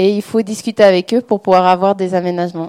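A woman speaks at a medium pitch with a dark, mellow tone and fairly even intonation, the sound dry and close with no echo. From French-speaking Switzerland, Lausanne. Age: 20s. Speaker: author speaking about her dyslexia. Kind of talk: public talk with audience questions.

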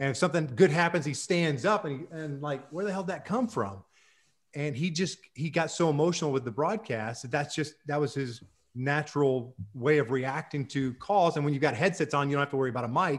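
A man's fairly high, somewhat breathy voice, fairly quick, with ordinary pitch variation, in a very clean recording with a silent background. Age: 50s. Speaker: baseball executive and former broadcaster. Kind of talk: casual interview.

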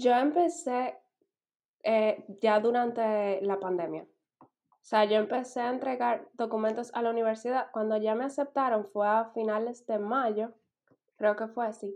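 In an unremarkable speaking voice, a woman speaks at a fairly slow pace with fairly high pitch, fairly even intonation and big swings in loudness. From Dominican Republic. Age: 20s. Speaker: master's student. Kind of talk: casual interview chat.

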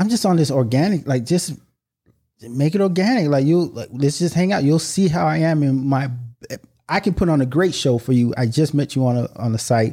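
With an American accent, a man speaks fairly quickly in a fairly high, dark, mellow, somewhat breathy voice with lively intonation. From United States, Haitian family. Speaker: podcast guest. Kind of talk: casual chat.

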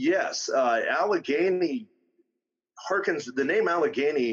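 A man with a Western Pennsylvania accent, lively intonation and a fairly slow pace. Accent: Western Pennsylvania American. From northwestern Pennsylvania, near Erie. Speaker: auto mechanic and Sasquatch investigator. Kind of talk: casual interview.

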